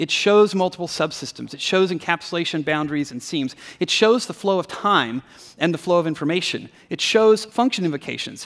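This man's voice sits high in pitch, with ordinary pitch variation. He talks at a moderate pace against a quiet background. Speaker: conference speaker. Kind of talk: keynote talk. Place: stage.

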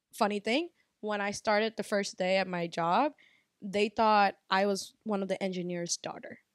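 Against a quiet background with no echo, a woman with an American accent speaks at a medium pitch and a moderate pace, using ordinary pitch variation. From US, Bangladeshi American family. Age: 20s. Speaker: restaurant owner. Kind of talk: casual chat. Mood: amused anecdote. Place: home room. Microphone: handheld.

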